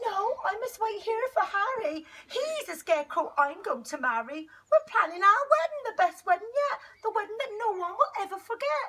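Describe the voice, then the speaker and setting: The woman uses a put-on character voice. Her pitch is extremely high, at a moderate pace. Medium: read story. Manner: earnest, gentle.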